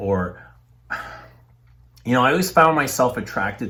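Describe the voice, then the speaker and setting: Here a man speaks with a Canadian accent in a bright, sharp tone. His voice has vocal fry and moves at a moderate pace. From Toronto, Canada. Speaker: fragrance reviewer and tool and die maker. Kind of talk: interview. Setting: at his home.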